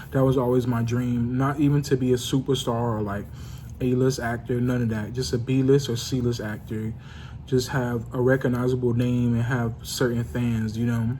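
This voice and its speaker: Quiet and set in audible room echo, a man speaks at a medium pitch and moderate pace with fairly even intonation. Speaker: vlogger. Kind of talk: casual monologue vlog. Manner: quiet, low-volume; halting, many fillers.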